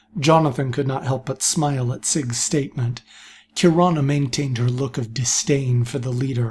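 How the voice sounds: Natural voice, reading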